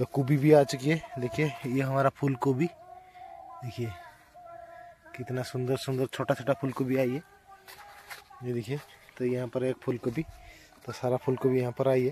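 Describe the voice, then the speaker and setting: Fairly slow, monotone, flat speech from a man, with long, frequent pauses, light background noise and a dry sound with no echo. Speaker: village vlogger. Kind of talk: casual vlog chat. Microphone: phone near.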